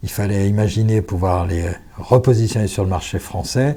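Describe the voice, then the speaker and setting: Somewhat breathy, a man talks at a fairly slow pace in a fairly low pitch. His tone is dark and mellow, with ordinary pitch variation. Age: 60s. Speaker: business founder and executive. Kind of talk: podcast interview. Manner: formal.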